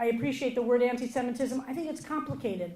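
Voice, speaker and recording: Pitched fairly high, a woman with an American accent speaks with ordinary pitch variation amid audible room echo and noticeable background noise. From US. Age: 50s. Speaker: rabbi. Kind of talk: keynote speech.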